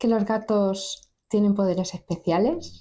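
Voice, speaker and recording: A very slow-paced woman's voice on a very clean recording, the background silent. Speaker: storyteller. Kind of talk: casual talk to camera.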